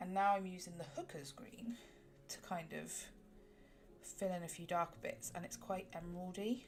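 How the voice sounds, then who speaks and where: A woman with a southwest English accent talks at a moderate pace and medium pitch, with ordinary pitch variation, a somewhat breathy quality and long, frequent pauses. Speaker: colouring livestreamer. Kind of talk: casual chat. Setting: livestream. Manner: casual with fillers.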